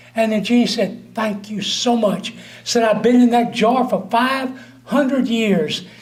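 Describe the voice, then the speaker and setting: At a fairly slow pace, a man talks in a high pitch with audible room echo. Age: 70s. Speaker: speaker at awards luncheon. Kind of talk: after-dinner speech with jokes.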